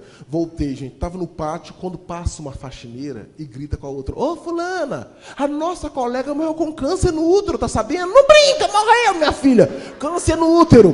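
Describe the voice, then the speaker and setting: A man talks in an animated tone, his loudness swinging widely. Noticeable background noise sits behind him. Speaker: motivational speaker and storyteller. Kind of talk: motivational talk with storytelling. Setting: stage with audience. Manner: fast.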